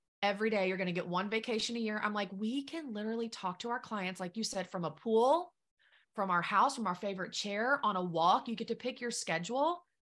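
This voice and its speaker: A woman speaks with an unremarkable speaking voice. Her pace is fairly quick and her pitch varies in an ordinary way. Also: fairly high pitch for a woman. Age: 30s. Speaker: business coach. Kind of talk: casual chat.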